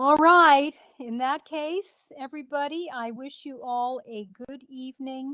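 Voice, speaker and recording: Projecting a raised voice with a bright, sharp tone, a woman speaks fairly slowly at a high pitch, with ordinary pitch variation, big swings in loudness, and a dry, close sound without echo. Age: 60s. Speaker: beekeeper and speaker. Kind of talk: club talk, casual.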